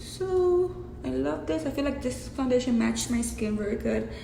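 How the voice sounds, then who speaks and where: A woman with a fairly high pitch speaks with a strong Mexican accent. Noticeable background noise and audible room echo come through. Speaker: beauty vlogger. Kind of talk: makeup tutorial. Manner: casual, chatty.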